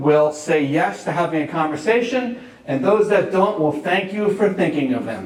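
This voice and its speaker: A man with a New York accent talks at a high pitch. There is noticeable background noise along with audible room echo. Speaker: real estate agent and speaker. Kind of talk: conference talk. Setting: stage with audience.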